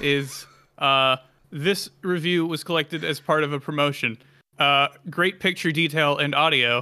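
The tone is bright and sharp. Intonation stays fairly even at a moderate pace. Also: man, fairly high pitch for a man. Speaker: podcast host. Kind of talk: casual banter podcast chat.

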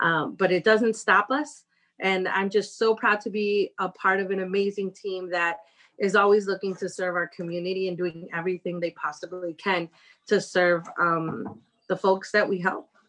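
This woman has an ordinary speaking voice at a medium pitch. She talks at a moderate pace with fairly even intonation. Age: young. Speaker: domestic violence agency director. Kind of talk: casual interview.

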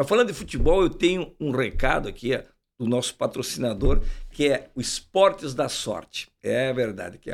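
A man's intonation is lively as he talks at a moderate pace, captured on a very clean recording against a silent background. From Uruguaiana, Rio Grande do Sul, Brazil. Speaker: podcast host. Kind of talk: casual interview chat. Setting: studio. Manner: animated.

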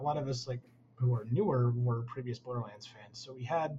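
Speaking with an American accent at a medium pitch, a man is heard over noticeable background noise. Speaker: game artist. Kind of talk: casual interview.

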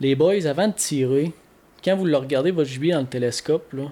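A man's fairly high voice with a Quebec accent and ordinary pitch variation. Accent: Québécois French. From Quebec, Bas-Saint-Laurent (La Pocatière). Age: 20s. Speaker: hunting and fishing store co-owner. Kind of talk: casual chat. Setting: studio.

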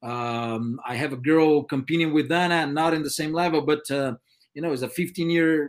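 Speaking with a Brazilian accent, a man uses a fairly high pitch. His pace is moderate and his intonation fairly even.

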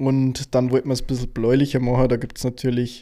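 A man with a medium pitch and a dark, mellow tone is heard in a very clean recording with a silent background. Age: 20s. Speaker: videographer and podcast co-host. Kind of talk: casual chat.

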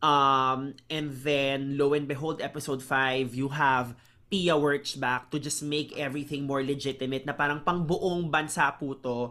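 Delivered at a fairly slow pace with hardly any pauses, the speech comes through a very clean recording with a silent background. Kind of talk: casual recap chat.

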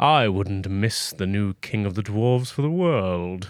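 A man puts on a character voice at a fairly low pitch. He speaks at a fairly slow pace. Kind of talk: mock-pleasant, feigned warmth. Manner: evil, menacing.

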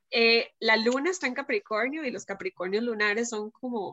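In a dry, close recording with no echo and a quiet background, a woman speaks at a moderate pace in a high pitch with a bright, sharp tone and ordinary pitch variation. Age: 20s. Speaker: writer. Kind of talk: casual chat.

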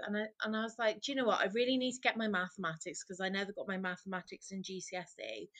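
A woman speaks with a Welsh accent at a fairly quick pace. Her pitch is medium, with ordinary variation. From Wales. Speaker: marine mammal medic and wildlife photographer. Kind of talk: casual interview.

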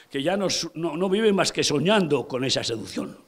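A man speaks with a high pitch and lively intonation. His tone is animated, and his pace is moderate. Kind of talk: sermon. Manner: animated, vivid storytelling, repeating names for emphasis; conversational, addressing listeners directly.

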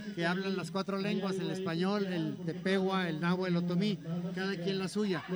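Over noticeable background noise, a man with a high pitch talks at a moderate pace in a monotone, flat intonation. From Guadalajara, Mexico. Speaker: Jesuit priest, former radio director. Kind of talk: live radio interview. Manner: halting.

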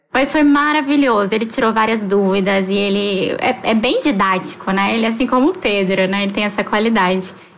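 Speaking at a fairly quick pace with hardly any pauses, a woman with a medium pitch keeps her loudness very even, her intonation showing ordinary pitch variation, while noticeable background noise and audible room echo fill the recording. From Palmas, Tocantins, Brazil (born in Rio). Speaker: theology student. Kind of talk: casual podcast chat.

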